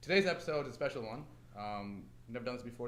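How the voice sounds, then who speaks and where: A man talks at a very fast pace, his pitch medium. The room echo is audible. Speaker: podcast host. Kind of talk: live podcast interview. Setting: live podcast on a university campus with audience. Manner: shaky, vibrating voice.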